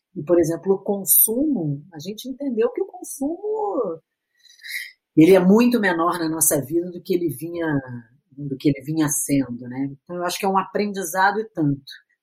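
A woman's somewhat breathy, fairly low voice with lively intonation at a moderate pace. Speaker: psychiatrist. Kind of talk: interview. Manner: halting.

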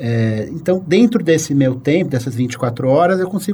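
This man's intonation is lively, and noticeable background noise sits behind him. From Brazil, São Paulo. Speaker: writer, columnist. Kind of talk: casual interview conversation.

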